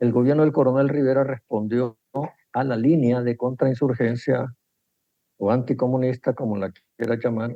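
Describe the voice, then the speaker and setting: At a moderate pace, a man with a medium pitch talks in monotone, flat intonation, with long, frequent pauses. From El Salvador. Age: 80s+. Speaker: economist and former politician. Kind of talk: interview.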